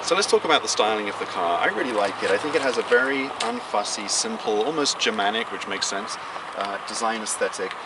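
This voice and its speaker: A man with a British accent talks very fast at a medium pitch, his intonation lively. There's noticeable background noise and audible room echo. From England. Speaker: car reviewer. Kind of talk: car review.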